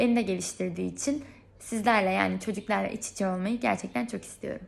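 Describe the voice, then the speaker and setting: The recording is very clean with a silent background. A woman speaks at a fairly quick pace. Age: 20s. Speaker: product designer applying for instructor job. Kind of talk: video application monologue; role-play reply to a parent.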